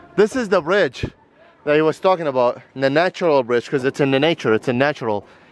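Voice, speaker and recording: With light background noise and a dry sound with no echo, a man speaks with ordinary pitch variation. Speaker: travel vlogger. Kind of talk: casual vlog chat. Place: forest. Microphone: phone near.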